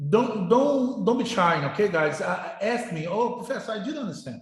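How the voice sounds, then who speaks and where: With a non-native accent, a man speaks at a moderate pace in a high pitch, his intonation lively, over audible room echo. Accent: non-native English, noticeable. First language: Portuguese. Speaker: university professor. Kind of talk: lecture. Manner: halting, with many repetitions.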